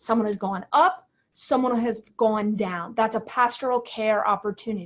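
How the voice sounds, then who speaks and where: This woman has a plain, everyday voice, fairly high in pitch, with ordinary pitch variation. She speaks at a moderate pace against a quiet background. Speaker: pastor. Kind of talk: webinar presentation. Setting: online webinar.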